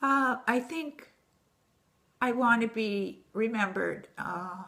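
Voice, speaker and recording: A woman talks very slowly in a bright, sharp tone. Her pitch sits fairly high and varies in an ordinary way. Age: 80s+. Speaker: artist. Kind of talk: casual chat.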